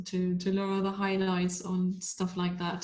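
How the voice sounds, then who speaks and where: A woman speaks with monotone, flat intonation. Her voice is somewhat breathy. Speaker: pet photographer. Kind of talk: webinar talk.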